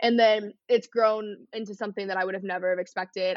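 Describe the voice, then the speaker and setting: A woman with an American accent has an ordinary speaking voice at a medium pitch. She talks at a fairly quick pace with fairly even intonation. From Texas, north of Dallas. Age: 20s. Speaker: content creator. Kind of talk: casual chat.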